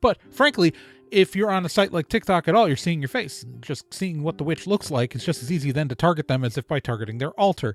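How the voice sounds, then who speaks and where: A man's fairly high, very fast voice with very wide pitch swings, dry and close with no echo, music in the background. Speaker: podcast host. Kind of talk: casual monologue. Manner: animated.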